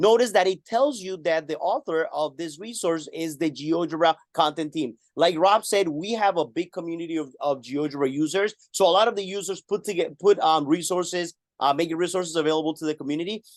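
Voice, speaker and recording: In a Spanish accent, a man speaks at a high pitch and a fairly quick pace with ordinary pitch variation and hardly any pauses, the sound dry and close with no echo against a quiet background. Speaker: math teacher and webinar presenter. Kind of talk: webinar tutorial. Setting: live online webinar.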